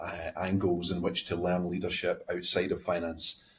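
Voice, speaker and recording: A somewhat breathy man with a Scottish accent at a moderate pace. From Scotland. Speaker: company president. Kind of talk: podcast interview. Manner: halting, many fillers and repeats.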